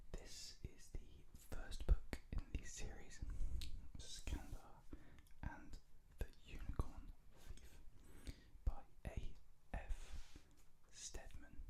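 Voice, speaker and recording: The speaker whispers very slowly, breaking often into long pauses. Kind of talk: ASMR book talk. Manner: whispered, soft-spoken.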